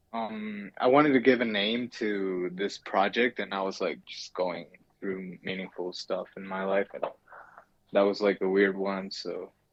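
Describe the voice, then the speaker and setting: Fairly low in pitch, a man speaks at a fairly slow pace with fairly even intonation. His loudness swings widely. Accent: Spanish. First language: Spanish. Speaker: digital artist. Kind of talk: casual interview.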